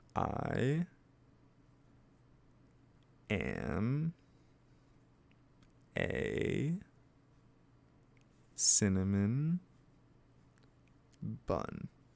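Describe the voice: In a put-on character voice, a man speaks at a very slow pace with fairly low pitch, vocal fry, very wide pitch swings and long, frequent pauses. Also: slightly mellow tone.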